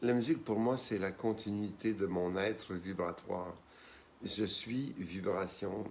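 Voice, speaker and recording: At a very slow pace, a man talks in a fairly low pitch with ordinary pitch variation. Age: 60s. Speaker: pianist and composer. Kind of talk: interview.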